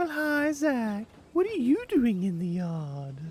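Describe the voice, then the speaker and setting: A put-on character voice, fairly high, with very wide pitch swings and a fairly slow pace. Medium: audio drama. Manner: cheerful, eager.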